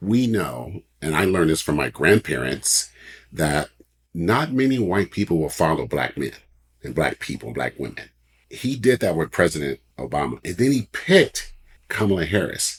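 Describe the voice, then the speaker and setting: This voice has an American accent and vocal fry. Its pitch swings very widely. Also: man, very deep, low pitch for a man, moderate pace. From US West Coast, Oakland, California. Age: 60s. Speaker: author and publisher. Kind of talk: interview chat.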